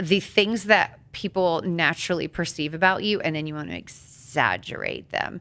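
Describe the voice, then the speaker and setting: A loud woman's voice, fairly low in pitch, with a bright, sharp tone. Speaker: podcast co-host. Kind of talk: casual podcast discussion. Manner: fast.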